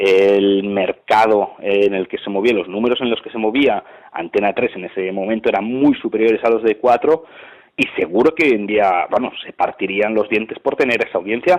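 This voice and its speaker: A man with a normal speaking voice talks at a moderate pace, with medium pitch and ordinary pitch variation. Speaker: sports commentator. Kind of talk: interview answer. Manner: casual, colloquial.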